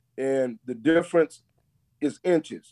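With an American accent, this dark, mellow voice shows ordinary pitch variation in a dry, close sound with no echo. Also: man. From Texas. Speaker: former NFL player and football coach. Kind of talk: casual chat.

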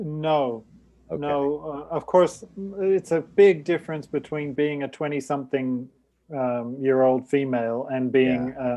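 A man uses a normal speaking voice with ordinary pitch variation, moving at a fairly slow pace. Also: fairly high pitch for a man. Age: 50s. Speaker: podcast co-host. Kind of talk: casual chat.

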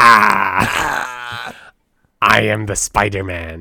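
A man's raspy, put-on character voice. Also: fairly low pitch for a man. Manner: maniacal, villainous.

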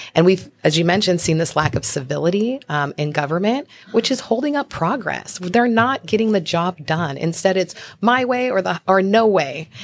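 Speaking at a moderate pace in an American accent, a woman uses a medium pitch with very wide pitch swings. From Spokane, Washington. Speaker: congressional candidate and lawyer. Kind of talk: interview.

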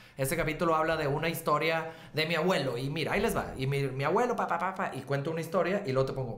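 A man at a very fast pace with hardly any pauses, a fairly high pitch and ordinary pitch variation, with audible room echo and noticeable background noise. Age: 40s. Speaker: musician and author. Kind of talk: casual chat.

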